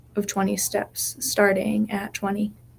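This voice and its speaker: In a soothing, calm tone, a somewhat breathy woman speaks at a very slow pace with a medium pitch. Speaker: hypnotherapist and guided meditation leader. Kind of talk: guided hypnosis meditation. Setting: live session at a wellness space. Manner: slow, soothing, calm.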